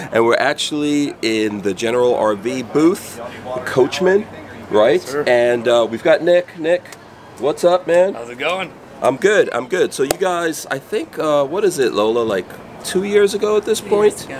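Noticeable background noise runs beneath a man speaking at a fairly slow pace. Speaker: channel host interviewing a rep. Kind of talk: casual interview chat. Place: market.

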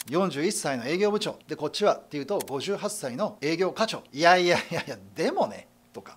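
A man's high-pitched voice, lively in intonation, at a moderate pace with hardly any pauses and big swings in loudness. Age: 50s. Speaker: sales consultant. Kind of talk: lecture. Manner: animated. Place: studio.

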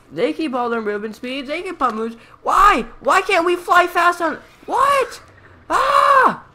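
A fairly slow pace against noticeable background noise. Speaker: gaming YouTuber. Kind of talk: angry gameplay rant at screen. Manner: exasperated, melodramatic outbursts of disgust; repetitive, sputtering indignation.

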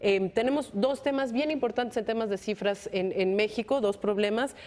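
Her delivery moves along fairly quickly, and her pitch varies in an ordinary way. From Mexico. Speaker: security analyst panelist. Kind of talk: panel discussion. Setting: studio. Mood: earnest, slightly exasperated. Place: studio. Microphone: lapel.

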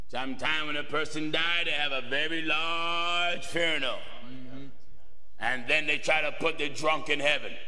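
A man with an ordinary speaking voice talks at a moderate pace in a fairly high pitch, with fairly even intonation and hardly any pauses. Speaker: preacher. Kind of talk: sermon. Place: church. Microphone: podium.

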